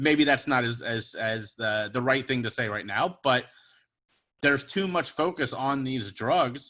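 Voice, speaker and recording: With an American accent and a bright, sharp tone, a man speaks at a fairly slow pace with ordinary pitch variation in a very clean recording with a silent background. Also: medium pitch for a man. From Cincinnati, US Midwest. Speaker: podcast guest. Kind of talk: casual chat.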